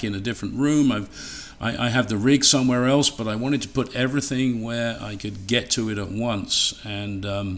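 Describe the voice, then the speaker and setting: Against noticeable background noise, a man with an English accent speaks at a fairly quick pace in a medium pitch with ordinary pitch variation. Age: old. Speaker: radio equipment presenter. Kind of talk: webinar talk. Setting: home livestream by fireplace. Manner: casual, halting with fillers.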